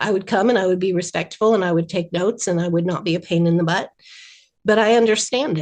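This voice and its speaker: Her pitch sits at a medium level, with ordinary variation. The woman talks at a very fast pace with an American accent. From rural New Jersey. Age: 60s. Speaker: animation writer. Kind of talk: interview.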